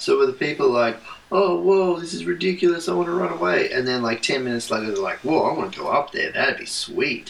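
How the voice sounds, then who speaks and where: Noticeable background noise fills the recording. Over it, a man speaks at a fairly quick pace. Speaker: podcast co-host, pastor's kid. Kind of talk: casual chat.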